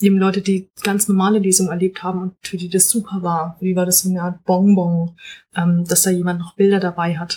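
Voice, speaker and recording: Somewhat breathy and dark, mellow in tone, a woman speaks at a medium pitch and a fairly quick pace in a monotone, flat intonation. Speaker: novelist. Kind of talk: casual chat. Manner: hesitant, many fillers.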